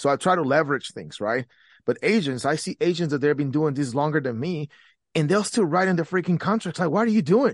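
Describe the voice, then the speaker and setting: Against a quiet background, a man with a Spanish accent talks at a fairly quick pace with a fairly high pitch and lively intonation. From Guatemala. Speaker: real estate agent and entrepreneur. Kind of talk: casual interview.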